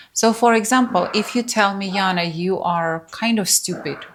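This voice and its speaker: In a non-native accent, a woman talks fairly slowly with ordinary pitch variation. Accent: foreign. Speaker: spiritual teacher. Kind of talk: workshop talk. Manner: casual, conversational.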